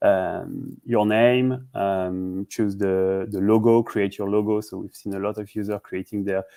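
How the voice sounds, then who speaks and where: Speaking at a fairly slow pace with hardly any pauses, a man has a dark, mellow tone, a fairly low pitch and monotone, flat intonation, on a very clean recording with a silent background. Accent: French. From France, Paris. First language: French. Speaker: startup CEO. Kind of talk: interview. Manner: halting, many fillers and repeats.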